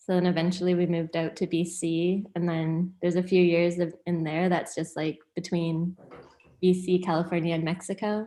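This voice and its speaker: A woman with a Canadian accent, fairly low in pitch, dark and mellow in tone, moderate in pace, with flat, monotone intonation. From Hamilton, Ontario, Canada. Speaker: music industry manager. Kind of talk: casual interview chat.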